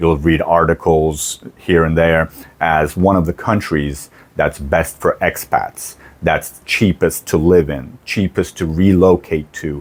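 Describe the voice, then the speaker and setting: A man's very deep, low voice at a very slow pace, with fairly even intonation. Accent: American. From United States. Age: 40s. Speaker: vlogger. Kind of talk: casual vlog intro. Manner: conversational.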